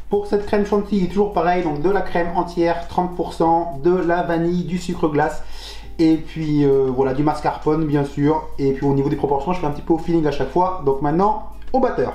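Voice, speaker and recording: Amid noticeable background noise and audible room echo, a man with a high pitch speaks at a moderate pace with ordinary pitch variation. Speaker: home cook video host. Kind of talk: cooking tutorial.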